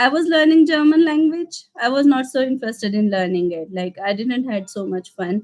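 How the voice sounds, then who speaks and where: In an Indian accent, a woman speaks with a high pitch. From India, Madhya Pradesh. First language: Hindi. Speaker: vlogger. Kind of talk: casual Q&A livestream. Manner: halting, many fillers.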